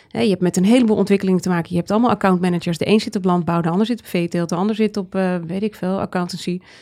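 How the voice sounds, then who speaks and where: Her voice has a dark, mellow tone and fairly even intonation. The woman talks at a very fast pace with hardly any pauses. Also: medium pitch for a woman. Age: 40s. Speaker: trend researcher and author. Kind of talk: interview conversation.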